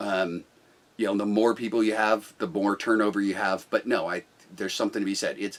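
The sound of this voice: A man speaks loudly at a fairly quick pace. His pitch is fairly low and his intonation fairly even.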